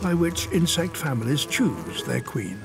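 Music plays in the background as a man talks. His pitch is fairly high and swings very widely. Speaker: nature documentary narrator. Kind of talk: nature documentary narration.

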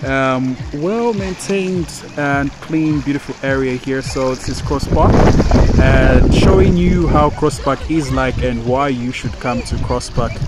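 In a dry sound with no echo, a man talks at a fairly slow pace against loud background noise. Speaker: vlogger touring a resort. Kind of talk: casual vlog chat. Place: waterside. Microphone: phone near.

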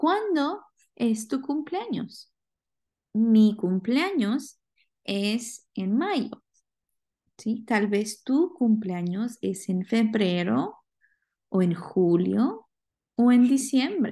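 A woman speaks at a very slow pace in a dark, mellow, somewhat breathy tone with fairly high pitch and lively intonation, leaving long, frequent pauses against a quiet background. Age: 20s. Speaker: Spanish language teacher. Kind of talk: recorded class lecture. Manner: slow, repetitive and clear.

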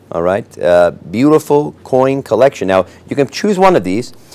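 Man with an upbeat tone at a fairly quick pace. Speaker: TV auction host. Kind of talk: TV shopping auction pitch, selling rugs live on air. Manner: upbeat, salesy, friendly, pitching fluently with filler pauses. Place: studio. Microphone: lapel.

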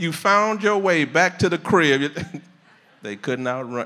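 Against a quiet background, a man speaks in a bright, sharp tone with vocal fry. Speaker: preacher. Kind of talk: sermon. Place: hall. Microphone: handheld.

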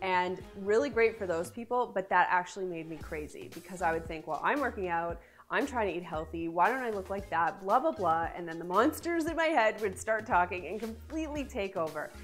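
Over faint background music, a woman speaks at a fairly quick pace with hardly any pauses. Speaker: lifestyle vlogger. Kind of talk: tips video talk to camera. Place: studio.

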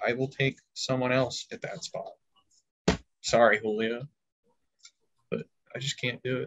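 Noticeable background noise surrounds a man who speaks at a moderate pace with long, frequent pauses. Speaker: fantasy football podcaster. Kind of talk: casual chat. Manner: animated. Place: home room. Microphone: webcam.

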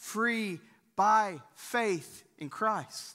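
A man projects a raised voice with a bright, sharp tone and ordinary pitch variation. The background is quiet. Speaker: pastor. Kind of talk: sermon. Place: church.

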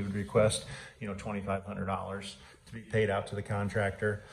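A man speaks at a moderate pace in a dark, mellow tone, with audible room echo.

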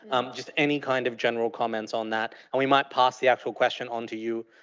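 Over a quiet background, the speech moves at a fairly quick pace in a monotone, flat intonation. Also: man. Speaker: panel moderator. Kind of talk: moderated panel discussion. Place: stage.

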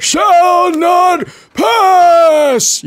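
An extremely high, put-on character voice. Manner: loud, commanding, forceful.

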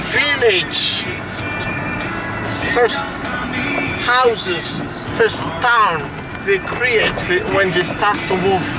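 Music plays clearly in the background. The speaker talks at a very slow pace. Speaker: local tour guide. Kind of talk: guided tour commentary. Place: car. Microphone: camera far.

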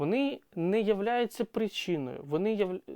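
The speaker's intonation is lively, and the sound is dry and close with no echo over a quiet background. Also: man. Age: 30s. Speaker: psychologist. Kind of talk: educational monologue. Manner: hesitant with fillers.

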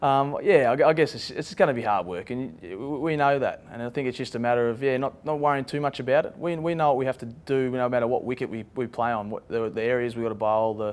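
A man talking at a very fast pace with hardly any pauses and ordinary pitch variation. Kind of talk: interview answer.

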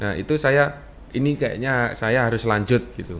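Ordinary pitch variation and a moderate pace from a man. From East Java, Blitar; East Java, Indonesia. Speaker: dance teacher. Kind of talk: interview. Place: studio. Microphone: studio mic.

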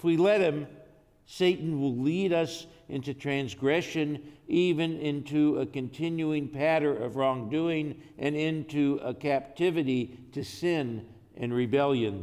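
The tone is slightly mellow, with ordinary pitch variation and a fairly slow pace. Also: man, fairly high pitch for a man.

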